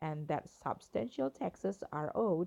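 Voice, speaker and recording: A woman with an Indonesian accent, fairly slow in pace, with lively intonation. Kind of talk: news article reading.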